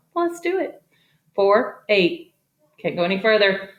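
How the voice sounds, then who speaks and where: A woman with a medium pitch sounds animated, her voice swinging very widely in pitch while the room echo is audible. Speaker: elementary math teacher. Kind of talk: tutorial. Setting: garage. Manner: fast.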